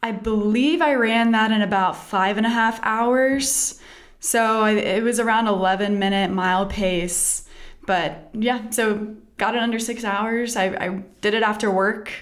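Speaking with an American accent at a fairly slow pace, a woman uses a fairly high pitch and fairly even intonation over audible room echo. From Texas. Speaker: physical therapist. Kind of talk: interview.

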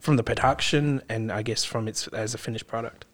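The speaker has an Australian accent. The intonation is fairly even. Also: man. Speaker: podcast host and filmmaker. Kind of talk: casual interview chat. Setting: studio.

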